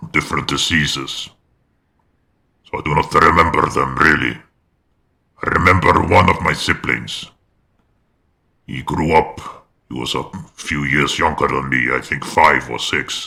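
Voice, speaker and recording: A man in a put-on character voice, very deep and low, at a moderate pace with long, frequent pauses. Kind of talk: roleplay character monologue. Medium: game stream. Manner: hesitant, measured, reflective.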